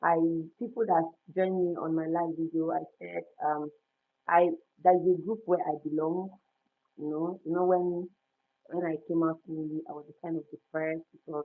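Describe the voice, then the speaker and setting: Speaking at a moderate pace with long, frequent pauses, a woman uses a fairly low pitch and monotone, flat intonation, with big swings in loudness. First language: non-English native language. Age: 30s. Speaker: lifestyle vlogger and storyteller. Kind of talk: casual livestream chat. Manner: halting.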